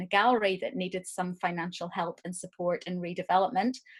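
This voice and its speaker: This woman talks at a medium pitch with an Irish accent. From Ireland. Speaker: arts director and producer. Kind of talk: lecture. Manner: hesitant, many fillers.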